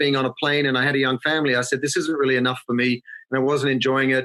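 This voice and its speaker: A man's fairly high, bright, sharp voice at a very fast pace, with an Australian accent. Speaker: marketing consultancy founder. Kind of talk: podcast interview. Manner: conversational.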